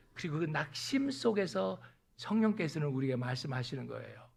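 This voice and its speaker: A man speaks at a moderate pace with lively intonation. Audible room echo surrounds his voice. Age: 60s. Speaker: pastor. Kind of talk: sermon.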